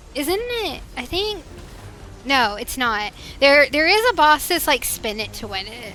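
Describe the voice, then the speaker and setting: A woman with a Northwestern US accent, music playing in the background. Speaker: streamer. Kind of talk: casual gaming livestream chat. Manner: chatty, hesitant with fillers.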